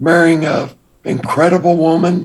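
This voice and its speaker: A man with an American accent speaks at a moderate pace and a fairly high pitch. His voice has vocal fry. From Texas, Austin. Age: 60s. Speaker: former drug smuggler turned entrepreneur. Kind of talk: interview.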